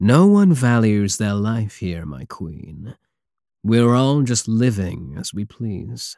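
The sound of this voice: In a put-on character voice, a man speaks slowly with a dark, mellow tone, a fairly low pitch, vocal fry and big pitch swings on a very clean recording with a silent background. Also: dry, close sound with no echo.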